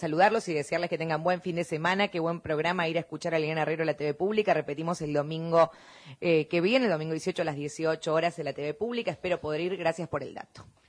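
A woman speaks at a fast pace with few pauses, her pitch fairly low for a woman.

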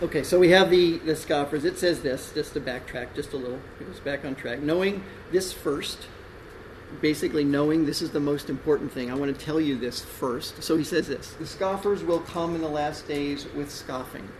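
With an American accent, a man speaks at a moderate pace and ordinary pitch variation, amid noticeable background noise and audible room echo. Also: fairly high pitch for a man. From Texas. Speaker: pastor. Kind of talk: sermon.

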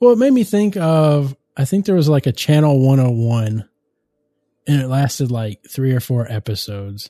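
A man with an ordinary speaking voice talks at a moderate pace with lively intonation, recorded dry and close with no echo. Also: fairly high pitch for a man. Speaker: podcast host. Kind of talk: casual banter podcast. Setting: home recording with old mic equipment. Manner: joking, playful.

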